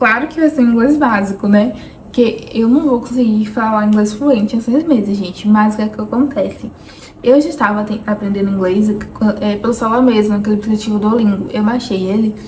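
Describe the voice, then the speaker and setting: Amid noticeable background noise, a woman with a fairly high voice speaks at a fairly quick pace. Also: ordinary pitch variation. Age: 20s. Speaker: vlogger. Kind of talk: personal vlog monologue.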